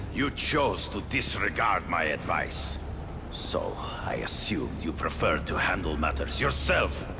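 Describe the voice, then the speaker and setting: Through loud background noise, a man performs a cartoonish character voice. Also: moderate pace. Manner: cold, measured.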